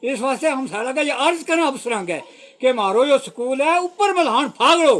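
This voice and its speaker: A man talks at a moderate pace with lively intonation and an extremely high pitch. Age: 80s+. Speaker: village elder. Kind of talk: public appeal to officials. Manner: halting.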